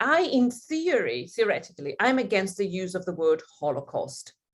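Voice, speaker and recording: A woman speaks at a moderate pace in a fairly high pitch with very wide pitch swings. Vocal fry runs through her voice. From Italy (Rome), schooled in London as teen. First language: Italian. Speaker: professor. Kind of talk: interview. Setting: radio studio. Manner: hesitant, many fillers.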